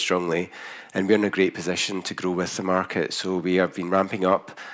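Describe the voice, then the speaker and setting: Speaking at a very fast pace, a man with a strong Scottish accent has a very deep, low pitch. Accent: Scottish, thick. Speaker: company founder presenting to investors. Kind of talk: investor presentation. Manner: hesitant, many fillers.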